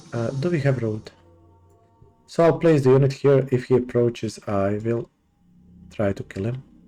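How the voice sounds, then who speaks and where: A man with a non-native accent at medium pitch, long, frequent pauses, and music in the background. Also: ordinary pitch variation, moderate pace. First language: not English. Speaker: gaming let's play host. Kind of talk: gameplay commentary. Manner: hesitant, many fillers.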